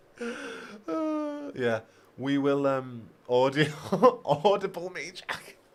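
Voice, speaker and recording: A man with a British accent speaks at a very slow pace in a fairly high pitch, with very wide pitch swings and long, frequent pauses. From Britain. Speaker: gaming YouTuber. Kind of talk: livestream chat reading viewer comments.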